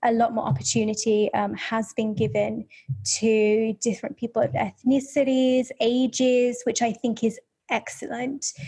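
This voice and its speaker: Somewhat breathy, a woman speaks with a fairly high pitch and ordinary pitch variation. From English Midlands, near Birmingham. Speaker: photographer. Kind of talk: interview conversation.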